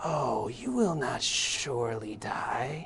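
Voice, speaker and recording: At a very slow pace, a put-on character voice sits at a low-to-middle pitch over clear background noise. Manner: hissing, drawn-out S sounds.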